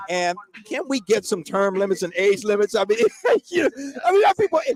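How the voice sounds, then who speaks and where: A man with an American accent talks at a fairly quick pace in a high voice with lively intonation. The sound is dry and close with no echo, though background noise is noticeable. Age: 60s. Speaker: school staff member. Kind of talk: casual chat. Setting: outdoors.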